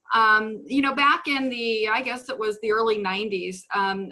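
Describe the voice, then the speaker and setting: In a Minnesotan accent, a woman speaks at a fairly slow pace with a fairly high pitch. Her tone is bright and sharp, and her pitch varies in an ordinary way. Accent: Minnesota. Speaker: real estate investor and coach. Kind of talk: webinar presentation. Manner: halting, many fillers.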